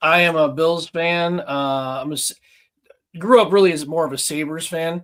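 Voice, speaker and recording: A man with a Western New York accent speaks at a fairly high pitch. His pace is fairly slow and his intonation fairly even. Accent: Western New York (Inland North). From Buffalo, New York. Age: 40s. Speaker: collector, police officer. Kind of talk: casual chat.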